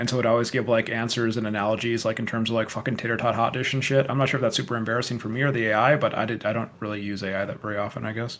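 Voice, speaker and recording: Noticeable background noise sits behind a man with an American accent. He talks at a very fast pace with hardly any pauses. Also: medium pitch for a man. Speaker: podcast co-host, electrical engineer. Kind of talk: casual debate. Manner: animated.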